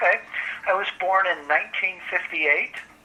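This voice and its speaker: Noticeable background noise runs under this recording. A man with an American accent speaks at a moderate pace. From Michigan, US Midwest. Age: 60s. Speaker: book publisher and translator. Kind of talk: oral history interview. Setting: phone call.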